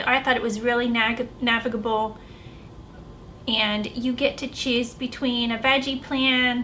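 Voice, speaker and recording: A squeaky, high-pitched woman's voice in an American accent, monotone and flat, at a fairly slow pace. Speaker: vlogger. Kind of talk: casual vlog review.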